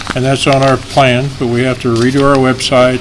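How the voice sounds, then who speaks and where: A man speaks mid-range in pitch, with clear background noise and some audible room echo. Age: 70s. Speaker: chamber of commerce director presenting to council. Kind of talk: public meeting presentation. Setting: city council meeting. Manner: conversational.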